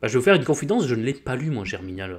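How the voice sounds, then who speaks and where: In a southwestern French accent, a man races along at a very fast pace on a very clean recording with a silent background. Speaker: book YouTuber. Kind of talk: casual commentary.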